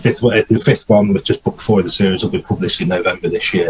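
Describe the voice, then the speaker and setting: A man with a British accent over noticeable background noise. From English East Midlands, near Nottingham. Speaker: indie fantasy author. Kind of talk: interview. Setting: video call from home study. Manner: hesitant, many fillers and repeats.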